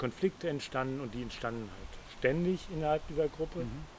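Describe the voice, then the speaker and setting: A man at a fairly high pitch and a moderate pace. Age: 60s. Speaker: interview guest. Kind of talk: casual interview conversation. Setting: outdoors in a garden.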